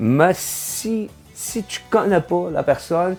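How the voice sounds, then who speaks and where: There is music in the background as a man speaks with a North Shore Quebec accent. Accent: Quebec French, North Shore (Cayen). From Havre-Saint-Pierre, Côte-Nord, Quebec. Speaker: singer-songwriter. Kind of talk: interview answer. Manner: hesitant, casual.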